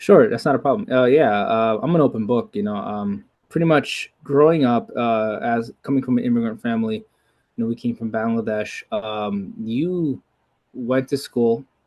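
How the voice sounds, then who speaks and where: An ordinary speaking voice: a man with an American accent, medium pitch, ordinary pitch variation and a moderate pace. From New York City. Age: 30s. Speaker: martial artist. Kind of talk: casual interview.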